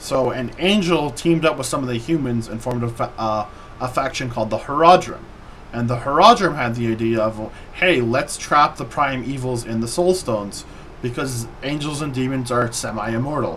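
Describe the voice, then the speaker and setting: A man talks at a moderate pace as noticeable background noise runs underneath. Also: medium pitch for a man, ordinary pitch variation. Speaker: vtuber streamer. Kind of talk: casual chat.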